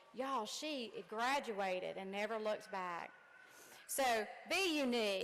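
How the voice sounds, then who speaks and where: Audible room echo hangs on a woman's speech. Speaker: commencement speaker, nursing instructor. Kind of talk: commencement speech. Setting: gym with audience. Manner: animated.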